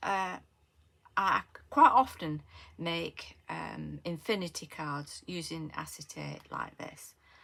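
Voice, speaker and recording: A woman with a Lancashire accent speaks at a very slow pace, with long, frequent pauses. Her loudness swings widely. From northern England, Lancashire. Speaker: craft tutorial creator. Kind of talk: tutorial. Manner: casual, hesitant with many fillers.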